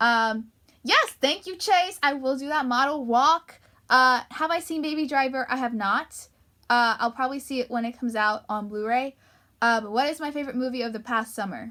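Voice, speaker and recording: A woman with an American accent speaks in a raised, projected voice at a high pitch, with an animated, bright, sharp tone, ordinary pitch variation and a moderate pace. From US Northeast (Long Island, New York). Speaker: YouTuber / livestreamer. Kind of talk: casual chat. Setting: livestream.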